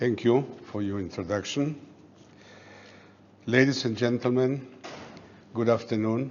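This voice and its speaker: A man with a non-native accent speaks at a fairly slow pace and medium pitch, with fairly even intonation and long, frequent pauses. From Poland, Warsaw. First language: not English. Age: 80s+. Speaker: Holocaust survivor, retired air force officer. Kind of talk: speech to audience. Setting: event room with audience.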